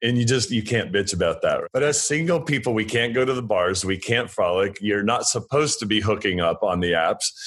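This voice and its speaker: A man with a plain, everyday voice talks at a fairly quick pace with hardly any pauses. His medium pitch carries lively intonation, and his loudness stays very even. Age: 40s. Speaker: interior and landscape designer. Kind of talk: casual chat.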